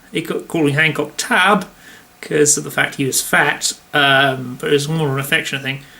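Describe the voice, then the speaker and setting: Man at a fairly high pitch, moderate pace and ordinary pitch variation, over noticeable background noise. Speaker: impressionist vlogger. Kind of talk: casual vlog monologue. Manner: halting, many fillers.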